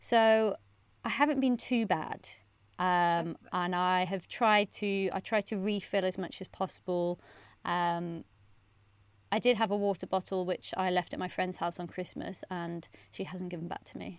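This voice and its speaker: A woman with a West Country accent, a medium pitch, ordinary pitch variation and fairly slow delivery, on a very clean recording with a silent background. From England, Bristol. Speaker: journalist and podcaster. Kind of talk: casual chat.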